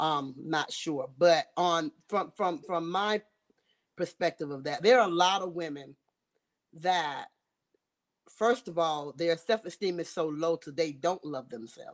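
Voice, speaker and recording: Speaking at a fairly slow pace with long, frequent pauses, this Southern US accent carries ordinary pitch variation and big swings in loudness. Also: woman, fairly low pitch for a woman. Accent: Southern US (Georgia). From US South, Georgia. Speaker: southern soul singer. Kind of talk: interview.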